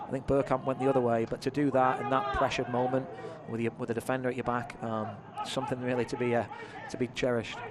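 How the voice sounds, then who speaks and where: A man with an English accent talks very fast in a medium pitch and monotone, flat intonation. Noticeable background noise runs behind him. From England. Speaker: color commentator. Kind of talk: live sports commentary.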